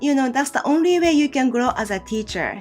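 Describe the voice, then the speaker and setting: With music playing in the background, a woman speaks in a Japanese accent with lively intonation. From Kagoshima, southern Japan. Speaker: Japanese language teacher. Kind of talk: casual talk to camera.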